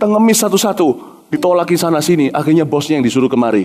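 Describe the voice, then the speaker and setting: Very fast speech is delivered over a noticeable layer of background noise. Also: man. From Indonesia. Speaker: pastor. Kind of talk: sermon. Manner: animated.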